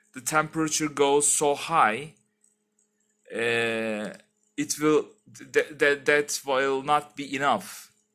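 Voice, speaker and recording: With a non-native accent and a bright, sharp tone, the speaker goes at a very slow pace, using fairly even intonation and long, frequent pauses against a quiet background. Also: man. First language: not English. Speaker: tech YouTuber. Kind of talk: tutorial. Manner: halting; casual. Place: home room. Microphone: headset.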